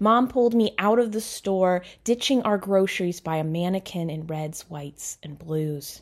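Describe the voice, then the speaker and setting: The clip has an unremarkable speaking voice with ordinary pitch variation. It moves at a fairly slow pace on a very clean recording with a silent background. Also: woman. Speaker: author and poet. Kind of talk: poetry reading, a poem read aloud.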